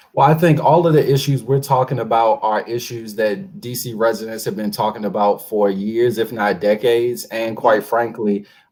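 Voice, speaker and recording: A man with a plain, everyday voice in an American accent, medium pitch, ordinary pitch variation and a moderate pace. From Washington DC, Congress Heights. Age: 20s. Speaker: local politician. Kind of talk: interview. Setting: live radio show.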